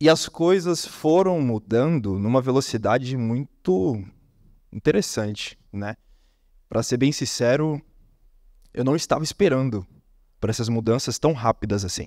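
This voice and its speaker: On a very clean recording with a silent background, a man of medium pitch speaks at a fairly slow pace with lively intonation and long, frequent pauses. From Brazil, Brasília. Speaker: copywriter, conference speaker. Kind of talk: conference talk. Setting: stage with audience. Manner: animated.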